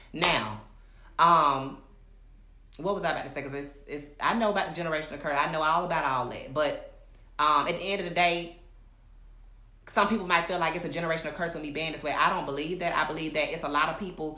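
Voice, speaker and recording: Animated in tone, a woman with a fairly low pitch speaks at a very fast pace between long, frequent pauses, and room echo is audible. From Alabama, US South. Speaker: recording artist and social media personality. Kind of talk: livestream monologue. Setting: live video stream. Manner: animated, emphatic; halting, self-interrupting.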